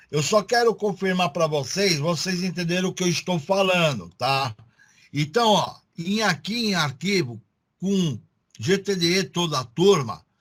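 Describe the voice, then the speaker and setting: A man with a high pitch speaks at a fairly slow pace with lively intonation. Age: 60s. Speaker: technical school teacher. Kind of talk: online class lecture. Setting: video call. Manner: casual.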